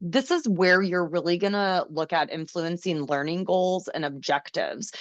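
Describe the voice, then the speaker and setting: The speaker uses a normal speaking voice at a moderate pace. The sound is dry and close with no echo, over a quiet background. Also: woman. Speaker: special education teacher / trainer. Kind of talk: webinar presentation.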